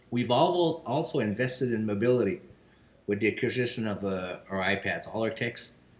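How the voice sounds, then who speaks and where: Speaking at a moderate pace in a Quebec accent, a man uses lively intonation at a medium pitch. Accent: French-Canadian accent in English. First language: French. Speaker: business general manager. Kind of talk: video testimonial.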